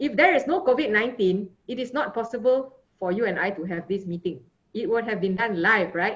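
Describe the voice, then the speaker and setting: With a Malaysian accent, a woman speaks in a lively intonation. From Malaysia, Johor Bahru. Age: 50s. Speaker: sports physician. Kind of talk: conference talk. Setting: video call.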